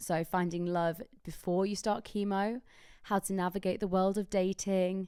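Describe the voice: At a moderate pace, the voice is raspy yet has a clear, smooth tone that is dark and mellow, with little pitch movement, in a very clean recording with a silent background. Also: woman, medium pitch for a woman.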